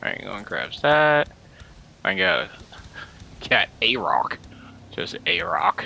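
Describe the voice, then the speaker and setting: A man with a bright, sharp tone talks at a very slow pace. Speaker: gaming YouTuber. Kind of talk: let's play commentary. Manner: animated.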